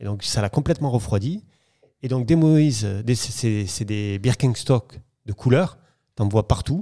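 Speaking fairly slowly with long, frequent pauses, a man uses lively intonation and a dark, mellow tone. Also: quiet background. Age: 40s. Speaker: property dealer; podcast guest. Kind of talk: interview storytelling. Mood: relaxed, storytelling. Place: home room. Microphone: studio mic.

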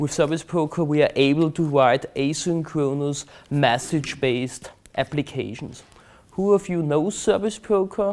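A man speaks with a German accent and a fairly high pitch. His pace is moderate and his pitch variation ordinary. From Austria, Vienna. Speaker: conference speaker, database expert. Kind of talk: technical presentation. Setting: stage with audience. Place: hall. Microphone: lapel.

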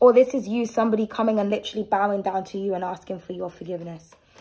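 A woman talks at a very fast pace, her medium-pitched voice dark and mellow in tone. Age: 30s. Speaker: tarot reader and channel host; tarot reader. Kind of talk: tarot reading with personal rant. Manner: animated. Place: home room. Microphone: phone near.

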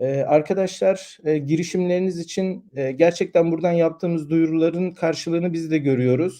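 A man's high voice with a dark, mellow tone, at a moderate pace with hardly any pauses. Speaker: tech news host. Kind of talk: live stream news commentary. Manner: hesitant with many fillers.

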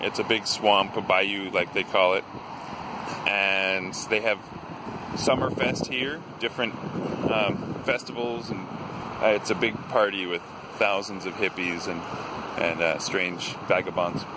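With ordinary pitch variation, the speech comes fairly slowly with long, frequent pauses, in a dry sound with no echo over noticeable background noise. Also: man. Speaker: vlogger. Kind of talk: casual vlog chat. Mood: playful, spooked curiosity. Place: waterside. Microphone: phone near.

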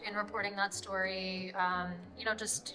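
A woman's bright, sharp tone at a moderate pace, with light background noise. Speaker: journalist interviewee. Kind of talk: interview answer. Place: hall.

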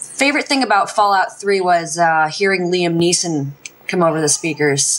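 This woman's voice sits at a fairly low pitch. She keeps a moderate pace. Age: 20s. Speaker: gaming site staff writer; podcast guest. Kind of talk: casual chat. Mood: relaxed, cheerful. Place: home room. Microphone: headset.

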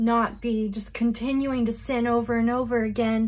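Against a quiet background, a woman speaks fairly slowly in a somewhat breathy, monotone, flat voice. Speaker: religious vlogger. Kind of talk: casual vlog chat. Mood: earnest, emotional. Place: home room. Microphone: phone near.

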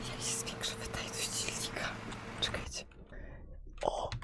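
Whispering over noticeable background noise. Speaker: ASMR gaming streamer. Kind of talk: casual gameplay commentary. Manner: whispered.

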